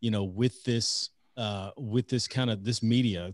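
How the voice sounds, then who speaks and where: With an unremarkable speaking voice, a man talks fairly slowly with fairly even intonation, recorded with a dry sound, no echo and a quiet background. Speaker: podcast host. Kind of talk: podcast intro. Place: home room. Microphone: studio mic.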